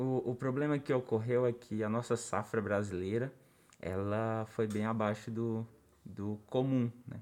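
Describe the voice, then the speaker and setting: Speaking with a plain, everyday voice, a man at medium pitch goes at a fairly slow pace with fairly even intonation. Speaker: podcast co-host. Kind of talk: casual chat.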